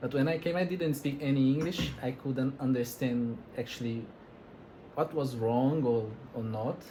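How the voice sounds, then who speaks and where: A man with a Brazilian accent talks at a medium pitch, his tone dark and mellow. His voice is somewhat breathy, with ordinary pitch variation. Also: moderate pace. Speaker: interviewer. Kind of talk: casual interview.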